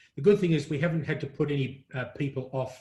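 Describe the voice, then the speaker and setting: A man speaks with an Australian accent. His voice is somewhat breathy, and his intonation stays fairly even. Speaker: print industry media executive. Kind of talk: interview.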